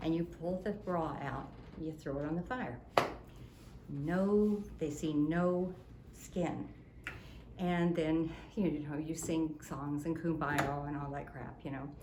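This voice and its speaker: Very slowly, with long, frequent pauses, a woman speaks at a very deep, low pitch with ordinary pitch variation, and the room echo is audible. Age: 70s. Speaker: innkeeper. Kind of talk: storytelling in casual chat. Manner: animated.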